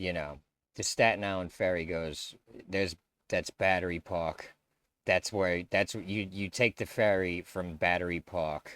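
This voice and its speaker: A man with an American accent speaks at a very deep, low pitch with fairly even intonation in a dry, close sound with no echo. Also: fairly slow pace, very clean recording, silent background. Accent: New York, watered down. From New York. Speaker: YouTube commentator. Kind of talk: video reaction commentary. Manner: casual, halting.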